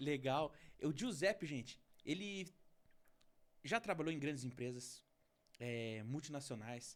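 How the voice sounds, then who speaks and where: Speaking fairly slowly, a man has a fairly high pitch, an animated tone and lively intonation. He leaves long, frequent pauses. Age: 30s. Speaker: podcast host. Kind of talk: interview podcast.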